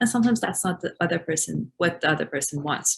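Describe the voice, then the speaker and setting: With an Iranian accent, a woman speaks at a fairly low pitch in a somewhat breathy voice. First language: Farsi. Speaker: refugee support worker. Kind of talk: webinar discussion.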